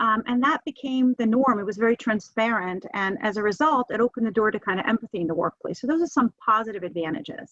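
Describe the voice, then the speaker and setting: A woman with a New Jersey accent talks at a very fast pace, her pitch fairly high with ordinary variation. The sound is dry and close, with no echo. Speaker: webinar speaker on hiring. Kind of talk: webinar presentation. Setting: video call from home office.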